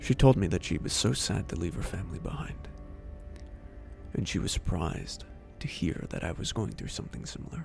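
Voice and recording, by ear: At a moderate pace, a man uses a put-on character voice, low-pitched with vocal fry and lively intonation, over faint music in the background. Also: slightly mellow tone.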